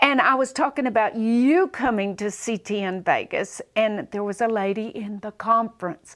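A woman talks in a Southern US accent at a fairly high pitch. She keeps a moderate pace with hardly any pauses. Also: ordinary pitch variation. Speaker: preacher and teacher. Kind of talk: casual chat, faith interview. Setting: studio.

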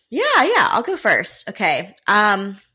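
Against a silent background on a very clean recording, a woman speaks in an American accent, her tone bright and sharp and her pitch varying in an ordinary way. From Raleigh, North Carolina. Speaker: podcast host. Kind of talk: casual chat.

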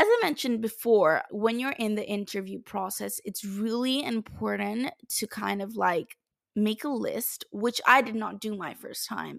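Speaking at a fairly slow pace with hardly any pauses, a woman has an animated tone, recorded very cleanly against a silent background with a dry, close sound and no echo. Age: 20s. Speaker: podcast host. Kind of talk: solo podcast monologue.

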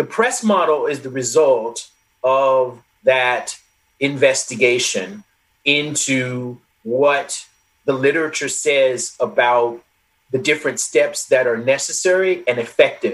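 Lively in intonation, a man with a normal speaking voice and a fairly high pitch speaks at a fairly slow pace. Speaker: social psychologist and author. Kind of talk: interview conversation. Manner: articulate, explanatory.

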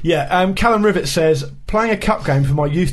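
Fairly quick speech in a British accent, with noticeable background noise. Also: man. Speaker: football podcast co-host. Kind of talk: casual chat.

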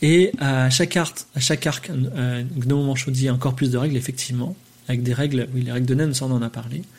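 A man speaks at a moderate pace. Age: 40s. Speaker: podcast host. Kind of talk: live stream monologue. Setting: live on Twitch. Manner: hesitant, many fillers.

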